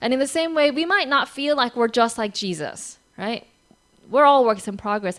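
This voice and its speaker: With an American accent, a woman speaks at a moderate pace in a high pitch with lively intonation. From United States. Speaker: pastor. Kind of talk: sermon. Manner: conversational.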